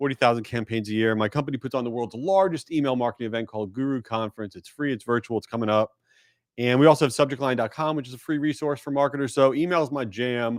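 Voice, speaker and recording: A man at medium pitch speaks at a very fast pace. The recording is very clean, with a silent background. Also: ordinary pitch variation. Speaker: email marketing agency owner. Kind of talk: conference panel discussion. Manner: animated.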